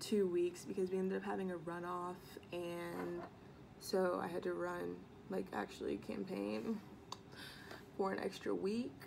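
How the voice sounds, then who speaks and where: With an American accent, a woman speaks at a fairly slow pace, leaving long, frequent pauses amid noticeable background noise. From US Midwest. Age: 18, college student. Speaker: beauty and lifestyle vlogger; college student vlogger. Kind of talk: casual vlog chat. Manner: chatty, many fillers. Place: home room. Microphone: phone near.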